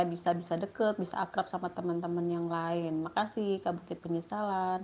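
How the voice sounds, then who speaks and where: In a dark, mellow tone, a woman talks at a fairly quick pace and a fairly low pitch. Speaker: livestreamer. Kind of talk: live stream chat reading comments. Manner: casual, chatty.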